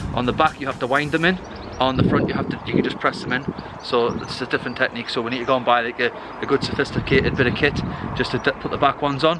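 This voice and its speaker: Amid noticeable background noise, a man talks at a very fast pace and medium pitch with fairly even intonation. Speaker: family vlogger. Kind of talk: casual vlog chat. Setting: outdoors at a train station.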